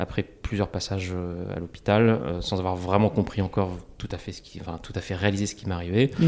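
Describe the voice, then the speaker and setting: The voice is quiet, with fairly even intonation. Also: man. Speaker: entrepreneur and investor. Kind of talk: interview testimony. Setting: small meeting room. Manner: calm, quiet; halting.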